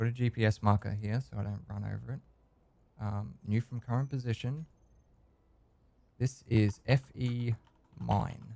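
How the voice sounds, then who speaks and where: The sound is dry and close with no echo, carrying a dark, mellow tone in an Australian accent. Delivery runs at a moderate pace with fairly even intonation, big swings in loudness, and long, frequent pauses. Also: man, medium pitch for a man. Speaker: gaming video creator. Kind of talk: let's play commentary. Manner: casual, hesitant with fillers.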